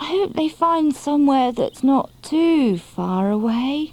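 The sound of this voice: Speaking at a fairly slow pace, a female-sounding put-on character voice sits at a high pitch.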